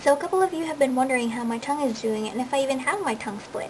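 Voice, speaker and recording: Against noticeable background noise, a woman talks at a very fast pace in a high pitch with ordinary pitch variation. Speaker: body modification enthusiast. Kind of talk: casual talk to camera. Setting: home recording, low-quality camera audio.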